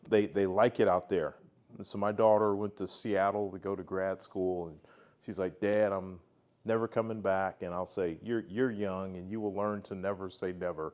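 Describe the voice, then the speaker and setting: In a normal speaking voice, a man talks at a fairly low pitch. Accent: American. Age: 60s. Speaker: tech industry veteran presenter. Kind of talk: self-introduction talk to club audience.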